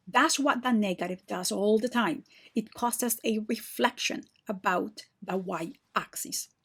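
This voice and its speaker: A woman with a plain, everyday voice speaks at a fairly slow pace, her pitch fairly high with ordinary pitch variation. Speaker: math teacher. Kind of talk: tutorial.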